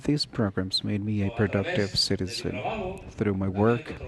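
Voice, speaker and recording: A man with a non-native accent, fairly low in pitch, with ordinary pitch variation and a fairly slow pace. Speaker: police officer and adult school teacher. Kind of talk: testimony at a town hall. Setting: public town hall meeting in a school cafeteria.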